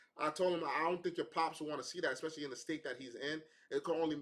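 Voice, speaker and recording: In a New York accent, a man rattles along at a very fast pace with a bright, sharp tone and fairly high pitch. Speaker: podcast host. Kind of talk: casual interview.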